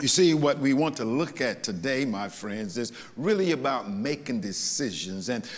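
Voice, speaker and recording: A man at a moderate pace, with very wide pitch swings. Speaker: pastor. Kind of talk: sermon. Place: church.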